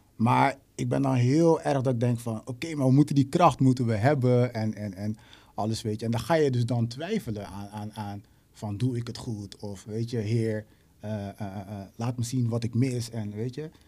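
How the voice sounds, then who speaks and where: Male voice of medium pitch, dark and mellow in tone, at a moderate pace with ordinary pitch variation. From Netherlands, Rotterdam. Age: 20s. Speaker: musician and songwriter. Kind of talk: casual chat.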